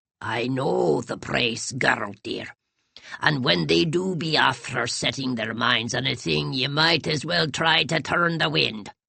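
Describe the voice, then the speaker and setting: A put-on character voice with an Irish accent, pitched low to middle. The pace is fairly slow. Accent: Irish brogue. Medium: read story. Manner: wheedling, gossipy.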